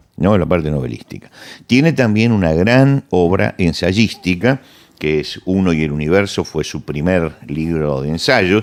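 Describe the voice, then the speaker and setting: Fairly slow delivery on a very clean recording with a silent background. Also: man, very deep, low pitch for a man. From Argentina. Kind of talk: conversational interview, cultural commentary.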